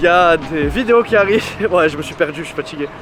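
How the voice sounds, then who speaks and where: Fairly quick male speech over music in the background. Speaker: travel vlogger. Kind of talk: travel vlog. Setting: outdoors. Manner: loud; animated.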